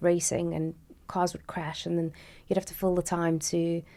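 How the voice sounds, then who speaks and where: With a South African accent, a woman speaks in a dark, mellow tone at a fairly low pitch, on a very clean recording with a silent background. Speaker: motorsport presenter. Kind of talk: podcast interview. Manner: fast; bubbly.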